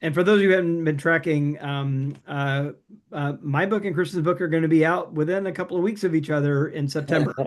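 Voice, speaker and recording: A man talks at a fairly quick pace with a fairly high pitch and fairly even intonation. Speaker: podcast co-host; author. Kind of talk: casual chat. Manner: fast; halting, many fillers.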